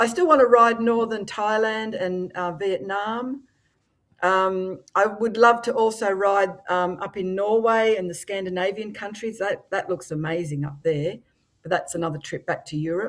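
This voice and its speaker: A medium-pitched woman with an Australian accent, moderate pace and ordinary pitch variation. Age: 60s. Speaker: motorcycle influencer. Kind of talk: podcast interview. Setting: live-streamed podcast.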